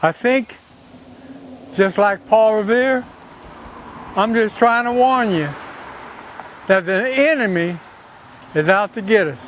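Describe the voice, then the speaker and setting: High male voice with a Cajun accent, very slow pace, ordinary pitch variation, long, frequent pauses and noticeable background noise. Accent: Cajun Louisiana English. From Louisiana, Breaux Bridge (Cajun country). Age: 60s. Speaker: political activist. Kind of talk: monologue to camera.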